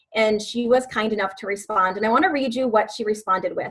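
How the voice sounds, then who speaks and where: This woman has an American accent, a fairly high pitch, and fairly even intonation in an ordinary speaking voice. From US Midwest, West Chicago, Illinois. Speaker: fitness coach. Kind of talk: team call presentation.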